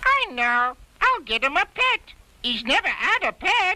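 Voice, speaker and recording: A woman performs a cartoonish character voice at an extremely high pitch. Her pitch swings very widely at a moderate pace. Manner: gushing, talkative.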